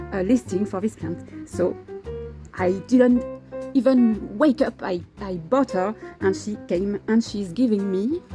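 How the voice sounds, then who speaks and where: A woman with a non-native accent speaks at a fairly slow pace, with long, frequent pauses. Her pitch sits in the medium range with ordinary variation, and music plays in the background. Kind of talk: casual talk to camera. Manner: hesitant, many fillers.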